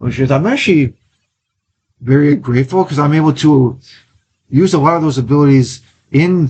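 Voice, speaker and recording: A somewhat breathy man speaks with an American accent. He keeps a moderate pace and ordinary pitch variation. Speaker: amateur theater actor. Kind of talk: interview. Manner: halting, with fillers.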